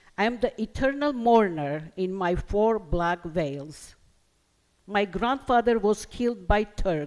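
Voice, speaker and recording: With an Armenian accent, a woman talks at a fairly slow pace in a medium pitch, her intonation lively. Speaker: poet. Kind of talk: poetry reading.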